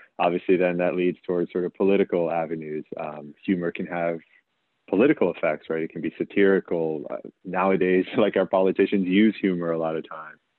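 A man with a very deep, low pitch, fairly even intonation and a fairly quick pace. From former Soviet Union. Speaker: philosophy professor. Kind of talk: casual interview conversation.

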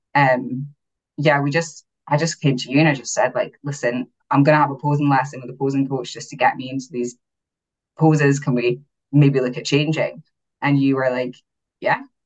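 With an Aberdeen accent, a woman speaks in a very deep, low pitch at a fairly quick pace, leaving long, frequent pauses. Her intonation is monotone and flat, with big swings in loudness. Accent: Aberdeen Scottish (Doric-tinged). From Aberdeen, northeast Scotland. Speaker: bodybuilding competitor, beauty pageant winner. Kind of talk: casual interview chat.

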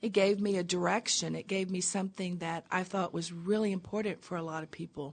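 A woman with an American accent speaks fairly quickly in an ordinary speaking voice, at medium pitch with fairly even intonation. She leaves hardly any pauses. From US South, small-town Tennessee. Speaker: abstract painter and creative coach. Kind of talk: interview. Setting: studio.

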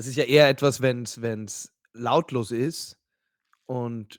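An unremarkable speaking voice belongs to this man, who holds a medium pitch with fairly even intonation. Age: 30s. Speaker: podcast co-host. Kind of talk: casual chat.

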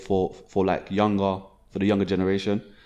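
A man talks with a fairly low pitch. His tone is dark and mellow. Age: young. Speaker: events business founder. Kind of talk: casual interview.

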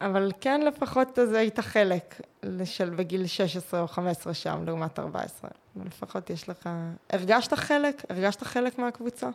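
Fairly slow and lively in intonation, a woman talks in a plain, everyday voice at medium pitch. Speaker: podcast host, mental coach, former swimmer. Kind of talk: interview conversation.

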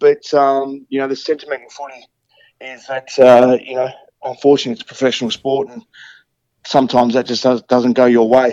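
A man with an Australian accent and a dark, mellow tone speaks at a fairly quick pace and medium pitch, monotone and flat in intonation with big swings in loudness, in a dry, close sound with no echo. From Tasmania. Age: 40s. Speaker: retired footballer. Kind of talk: interview. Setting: video call.

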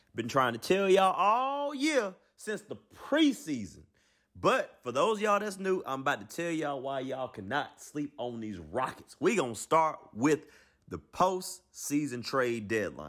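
Animated in tone, a man speaks at a fairly slow pace and fairly high pitch, with very wide pitch swings and big swings in loudness. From Alabama, US South. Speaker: sports video commentator. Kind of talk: casual sports debate.

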